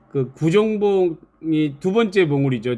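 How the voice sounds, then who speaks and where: A man speaks in a strong Jeolla accent, his pitch swinging very widely. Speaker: YouTuber, feed delivery worker. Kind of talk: live stream casual talk. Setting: live stream with chat.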